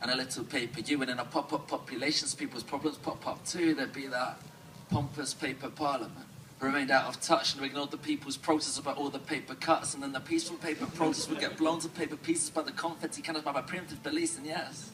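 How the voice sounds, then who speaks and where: Noticeable background noise surrounds a man with an English accent and a fairly high pitch. He talks at a very fast pace in a monotone, flat intonation. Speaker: slam poet. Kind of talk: spoken word performance.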